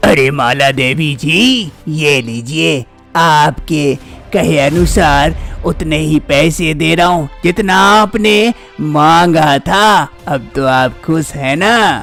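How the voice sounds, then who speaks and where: With clear music in the background, a man puts on a cartoonish character voice, fairly high in pitch, at a very slow pace. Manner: commanding, callous.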